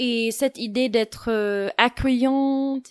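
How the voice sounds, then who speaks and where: A woman is heard on a very clean recording with a silent background and a dry, close sound with no echo. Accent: English. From United States. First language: English (speaking French). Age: 20s. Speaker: podcast guest. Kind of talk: personal testimony. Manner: hesitant, many fillers.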